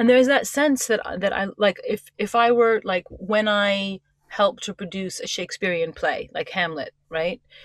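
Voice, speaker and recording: With a New York accent, a woman speaks at a moderate pace. Her pitch is fairly high, with ordinary pitch variation. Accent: New York American. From US, New York. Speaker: writer and performance coach. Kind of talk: interview. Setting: on a boat. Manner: direct.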